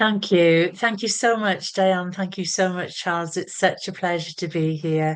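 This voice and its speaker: A woman with a Welsh accent speaks at a fairly slow pace and a medium pitch, with fairly even intonation and hardly any pauses, against a quiet background. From Wales. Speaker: spiritual teacher and healer. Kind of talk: podcast interview.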